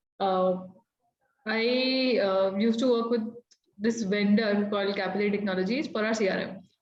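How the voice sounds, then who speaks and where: With audible room echo, a woman speaks at a medium pitch in fairly even intonation, leaving long, frequent pauses. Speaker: sales executive. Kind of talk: panel talk. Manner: fast; talkative.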